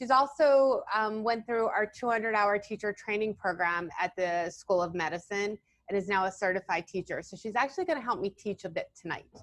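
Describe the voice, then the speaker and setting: Her medium-pitched voice shows ordinary pitch variation. The woman moves at a fairly quick pace with hardly any pauses. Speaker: physical therapist and yoga therapist. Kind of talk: presentation. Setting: video call. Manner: fast.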